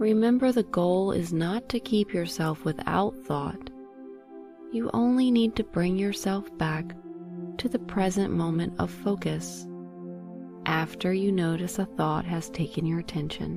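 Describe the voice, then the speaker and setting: Over music in the background, a woman talks at a fairly slow pace in a calm, soothing tone. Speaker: meditation guide. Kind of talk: guided meditation. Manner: soothing, relaxing; slow, calm.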